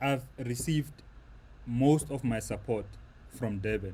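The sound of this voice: A man speaks at a slow pace with a dark, mellow tone. His medium pitch shows ordinary variation.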